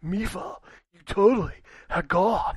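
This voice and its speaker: Delivered at a moderate pace, this put-on character voice is raspy and fairly high in pitch. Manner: laid-back.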